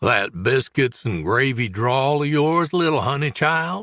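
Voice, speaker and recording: A man uses a put-on character voice at medium pitch with lively intonation and a fairly slow pace. The recording is very clean, with a silent background. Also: very even loudness. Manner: syrupy, teasing.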